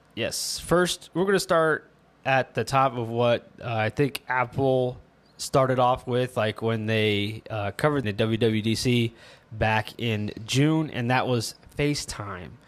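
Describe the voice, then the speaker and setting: Speaking at a fairly slow pace, a man has an unremarkable speaking voice. His medium pitch shows ordinary variation. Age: 30s. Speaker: tech podcast host. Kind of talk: casual chat.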